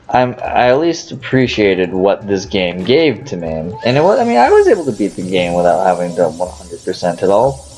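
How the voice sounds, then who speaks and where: Over music in the background, a man with a fairly low pitch talks at a fairly quick pace with very wide pitch swings. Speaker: gaming let's player. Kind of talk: gameplay commentary. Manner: halting, stuttering. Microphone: poor audio quality.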